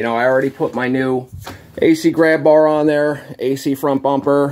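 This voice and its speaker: The speaker is a man. He goes at a moderate pace. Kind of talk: casual vlog chat. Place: garage. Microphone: phone near.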